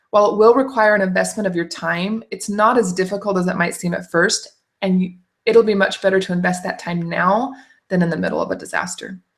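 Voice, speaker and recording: A woman speaks at a fairly quick pace in a medium-pitched, somewhat breathy voice with fairly even intonation. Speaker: food storage educator. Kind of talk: tutorial. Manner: fast.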